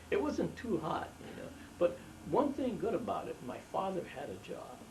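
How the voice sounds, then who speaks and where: A man with an American accent talks at a moderate pace, his loudness swinging widely. Noticeable background noise and audible room echo surround him. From Los Angeles, US West. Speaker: family elder interviewed about his life. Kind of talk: oral history interview. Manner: halting, many fillers and restarts.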